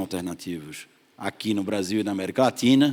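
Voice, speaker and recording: A man speaks in a Pernambuco accent at a moderate pace. His pitch variation is ordinary. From Pernambuco, northeast Brazil. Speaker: investment fund partner. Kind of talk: panel discussion.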